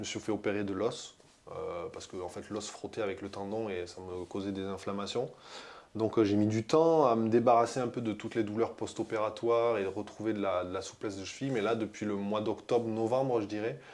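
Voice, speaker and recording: Fairly low in pitch, a man speaks at a fairly quick pace with fairly even intonation. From France. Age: 30s. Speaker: decathlete. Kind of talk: interview. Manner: halting, many fillers.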